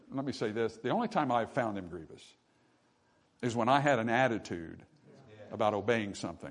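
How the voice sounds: Pitch shifts up and down to a usual degree. The delivery moves at a medium speed. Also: man.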